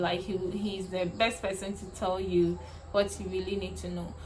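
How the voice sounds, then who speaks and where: A woman at medium pitch, with noticeable background noise and audible room echo. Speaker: beauty vlogger. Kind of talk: personal storytelling vlog. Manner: hesitant, with fillers.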